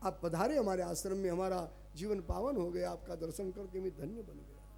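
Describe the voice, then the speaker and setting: Music plays in the background as a man with a Gujarati accent speaks at a moderate pace, his loudness swinging widely. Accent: Gujarati-accented Hindi. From Kutch, Gujarat, India. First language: Gujarati (speaking Hindi). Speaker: religious storyteller. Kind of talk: religious discourse.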